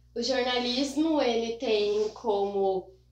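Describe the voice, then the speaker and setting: A woman speaks with fairly even intonation. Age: 30s. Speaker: newspaper reporter. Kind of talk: casual interview.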